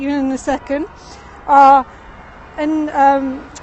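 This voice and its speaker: A woman speaks with a high pitch. Noticeable background noise can be heard behind her. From England. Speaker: livestream tour guide. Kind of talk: live stream walking tour chat. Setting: outdoors, city street. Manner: halting, many fillers.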